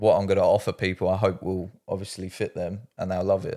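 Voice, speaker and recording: A man's voice at a fairly low pitch. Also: very clean recording, silent background. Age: 20s. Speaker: personal trainer. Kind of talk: casual chat.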